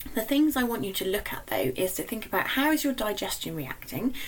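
With a British accent, the speaker moves at a fairly quick pace amid noticeable background noise. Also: woman. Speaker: nutritionist podcast host. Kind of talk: solo podcast monologue.

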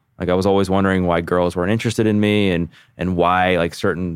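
On a very clean recording with a silent background, a man with a very deep, low pitch talks at a very fast pace in an American accent. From Baltimore, Maryland, US. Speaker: podcast host and personal trainer in recovery. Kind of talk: interview, personal testimony.

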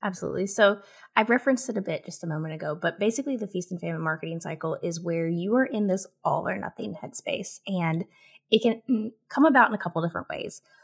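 A woman talks at a very fast pace in a somewhat breathy voice with lively intonation. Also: medium pitch for a woman. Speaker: content marketing strategist and author. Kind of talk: casual interview chat.

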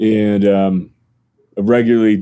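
The voice has a dark, mellow tone, fairly even intonation, and an American accent. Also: man. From northern New Jersey. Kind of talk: interview.

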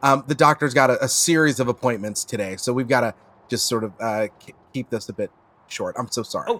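A man with a normal speaking voice talks at medium pitch and a fairly quick pace with ordinary pitch variation. The sound is dry and close with no echo. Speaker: comedy podcast cast member. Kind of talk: casual chat.

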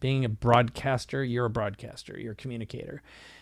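A man speaks in a plain, everyday voice with an American accent, at a medium pitch. His intonation is fairly even, and the recording is very clean with a silent background. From US Midwest (Minnesota). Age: 50s. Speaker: business coach and entrepreneur. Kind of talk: casual interview.

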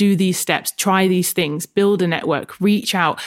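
At moderate speed comes an unremarkable speaking voice. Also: woman. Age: 30s. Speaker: fitness coach and author. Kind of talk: casual chat.

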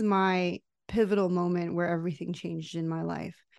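Over a quiet background, a woman speaks at a medium pitch and a moderate pace with fairly even intonation. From United States, Mexican-American family. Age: 40s. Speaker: life coach. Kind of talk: interview testimony.

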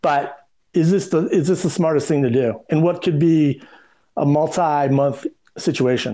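This man, with an American accent, has a dark, mellow tone and a fairly high pitch, and speaks at a moderate pace. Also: ordinary pitch variation, very even loudness. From US Midwest, Detroit. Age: 50s. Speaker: communications strategist. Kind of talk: podcast interview.

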